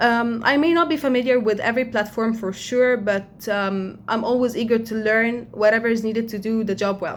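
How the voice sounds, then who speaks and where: At a moderate pace, a woman with an Arabic accent speaks with a fairly high pitch. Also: fairly even intonation. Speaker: job applicant. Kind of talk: video introduction. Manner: hesitant, with fillers.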